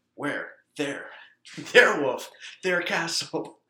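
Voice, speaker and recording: Pitched high, a man does a put-on character voice. He goes at a fairly slow pace. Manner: funny, put-on.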